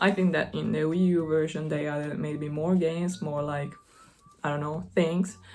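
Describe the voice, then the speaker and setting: A woman speaks in an Italian accent at a fairly low pitch and with fairly even intonation, her voice carrying audible room echo. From Italy. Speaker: gaming YouTuber. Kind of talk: casual vlog talk.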